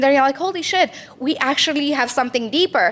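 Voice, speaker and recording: A woman speaks at a fairly quick pace with ordinary pitch variation, over noticeable background noise. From Romania. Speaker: entrepreneur. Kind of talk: podcast interview. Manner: animated.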